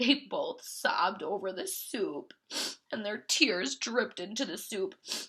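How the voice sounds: This is a natural reading voice. The delivery stays natural throughout.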